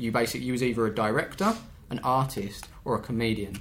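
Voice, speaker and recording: A man talks at a very fast pace. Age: 30s. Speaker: YouTuber running an amateur football team. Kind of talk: casual chat.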